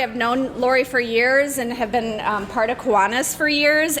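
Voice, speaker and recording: A loud woman's voice, high in pitch, with music in the background. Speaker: business owner, officer candidate. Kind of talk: short speech. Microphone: no microphone, speaking unamplified.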